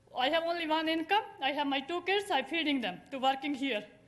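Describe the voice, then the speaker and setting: At a fairly quick pace, a woman with a non-native accent speaks at an extremely high pitch with ordinary pitch variation. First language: not English. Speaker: small shop owner speaking at public comment. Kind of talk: public comment testimony. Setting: city council meeting. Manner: halting.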